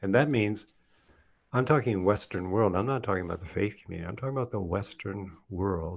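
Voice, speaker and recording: A man with a plain, everyday voice talks at a fairly quick pace. His pitch is fairly low with ordinary pitch variation, on a very clean recording with a silent background. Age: 60s. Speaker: mentor and speaker on culture and faith. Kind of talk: casual interview conversation.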